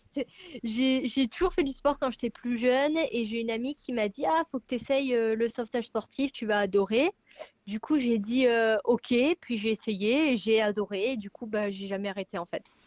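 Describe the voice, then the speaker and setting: A woman talks at a moderate pace in a normal speaking voice, fairly high in pitch with ordinary pitch variation. The sound is dry and close, with no echo. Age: 20s. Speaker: athlete. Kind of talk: interview.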